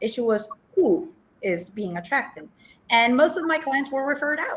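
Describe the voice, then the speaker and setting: This woman speaks with a high pitch at a moderate pace, her voice making very wide pitch swings. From Poland. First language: Polish. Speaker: life coach. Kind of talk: interview. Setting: TV show.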